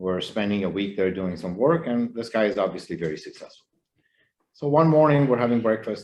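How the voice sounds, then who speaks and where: This man has an unremarkable speaking voice at medium pitch. His intonation is lively. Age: 60s. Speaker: law firm attorney. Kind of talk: panel interview.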